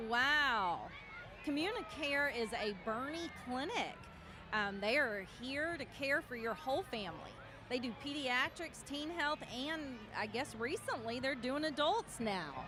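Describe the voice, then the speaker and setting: Over noticeable background noise, a woman with a high pitch speaks in a raised, projected voice with lively intonation. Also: fairly slow pace. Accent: Texan. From Texas, New Braunfels. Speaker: parade commentator. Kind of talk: live commentary.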